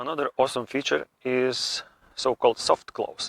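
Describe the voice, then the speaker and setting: A man with a non-native accent at a moderate pace, in a dry, close sound with no echo. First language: not English. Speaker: car vlogger. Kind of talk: car review vlog. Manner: enthusiastic.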